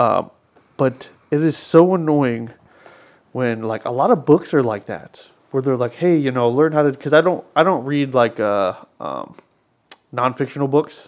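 Pausing long and often, a man speaks at a moderate pace and a fairly high pitch, with ordinary pitch variation. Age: 30s. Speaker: podcast co-host. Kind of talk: casual chat.

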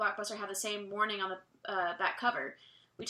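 The passage is being read aloud in a natural voice.

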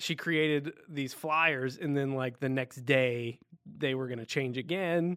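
Speaking at a fairly slow pace, a man with a plain, everyday voice uses fairly even intonation at a fairly high pitch. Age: 30s. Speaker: podcast co-host. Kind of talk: casual chat.

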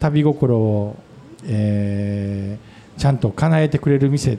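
A man speaks with a Kansai accent and ordinary pitch variation. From Wakayama, Japan. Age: 50s. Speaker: restaurant owner. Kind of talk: casual chat. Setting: public recording with audience.

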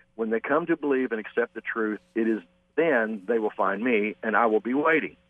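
The intonation moves in a lively way. The reading voice sounds natural.

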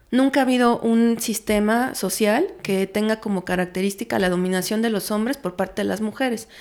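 A woman talks at a moderate pace, her pitch fairly high with ordinary variation. It is a normal speaking voice on a very clean recording with a silent background. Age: 30s. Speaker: feminist researcher. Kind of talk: interview.

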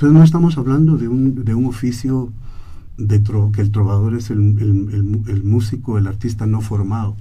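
Somewhat breathy, a man speaks at a moderate pace in a fairly low pitch with a dark, mellow tone, ordinary pitch variation and audible room echo. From Guatemala. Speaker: anthropologist and singer-songwriter. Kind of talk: radio interview. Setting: radio studio.

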